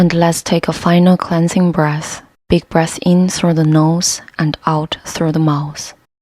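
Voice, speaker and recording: With a non-native accent and a calm tone, a woman with a fairly low pitch speaks at a very slow pace in a monotone, flat manner with very even loudness. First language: not English. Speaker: yoga instructor. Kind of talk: guided yoga class. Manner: calm, slow.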